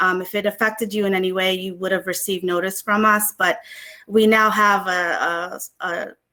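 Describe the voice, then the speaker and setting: A woman's medium-pitched voice, an ordinary speaking voice, with ordinary pitch variation. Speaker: government agency official. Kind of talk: panel discussion.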